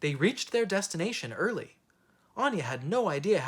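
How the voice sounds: The reading voice is natural, and its intonation stays lively throughout.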